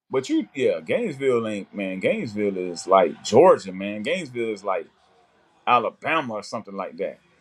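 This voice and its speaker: A man at a fairly quick pace, big swings in loudness, very clean recording with a silent background. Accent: American. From South Florida, Pompano. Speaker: sports fan co-host. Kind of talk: casual chat. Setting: livestream watching game.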